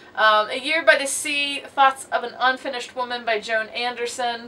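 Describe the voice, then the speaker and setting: Noticeable background noise sits behind a high-pitched woman speaking at a moderate pace. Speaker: booktuber. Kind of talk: casual video monologue.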